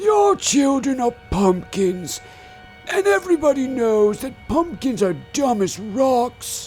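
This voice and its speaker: A man puts on a character voice at an extremely high pitch, talking fairly slowly over clear music in the background. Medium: audio drama.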